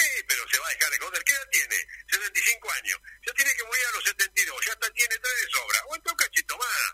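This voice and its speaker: A man talks at a fairly quick pace. The sound is dry and close with no echo, though there is noticeable background noise. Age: 70s. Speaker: doctor. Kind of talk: radio interview. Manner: animated.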